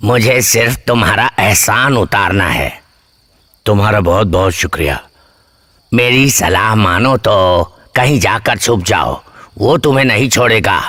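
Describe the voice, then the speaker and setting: Using a put-on character voice, a man speaks at a medium pitch and a fairly slow pace, his loudness very even. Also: ordinary pitch variation. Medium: fan dub.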